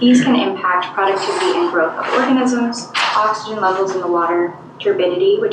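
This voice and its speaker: A soft-spoken woman's fairly high voice, fairly quick and with lively intonation, amid audible room echo and noticeable background noise. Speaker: environmental project coordinator. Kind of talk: presentation to council.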